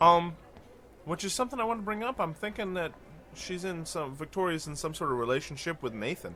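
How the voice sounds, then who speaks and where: The voice has a bright, sharp tone and lively intonation. It moves at a fairly quick pace. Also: man, high pitch for a man. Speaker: gaming let's play youtuber. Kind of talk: casual game commentary.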